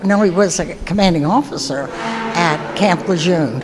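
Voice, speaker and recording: Over noticeable background noise and audible room echo, a woman talks with lively intonation. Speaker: marine corps veteran. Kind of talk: testimony.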